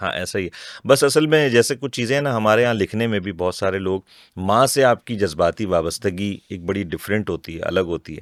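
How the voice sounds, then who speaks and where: The voice has lively intonation at a moderate pace. The sound is dry and close with no echo, on a very clean recording with a silent background. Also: man, fairly low pitch for a man. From Pakistan, Mansehra roots, raised in Karachi. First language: Hindko (speaking Hindi). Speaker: voice actor and poet. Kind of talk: interview. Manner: clear.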